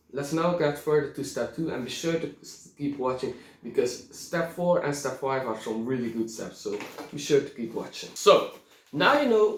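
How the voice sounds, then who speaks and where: With a non-native accent, a man speaks at a moderate pace and fairly high pitch amid audible room echo. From Belgium. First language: not English. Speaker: reenactment YouTuber. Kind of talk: tutorial. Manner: halting.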